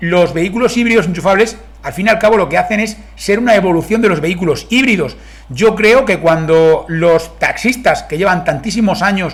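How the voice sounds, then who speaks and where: A man's high-pitched voice with a Spanish accent and ordinary pitch variation. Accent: Spain Spanish. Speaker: car reviewer. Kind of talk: video review. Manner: fast.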